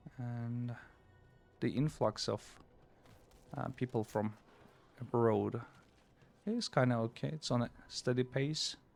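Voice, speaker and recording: Music plays behind a man speaking at a medium pitch with fairly even intonation. He goes at a fairly slow pace, with long, frequent pauses. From Turkey. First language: Turkish. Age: 40s. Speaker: game streamer. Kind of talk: casual chat. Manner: soothing; halting.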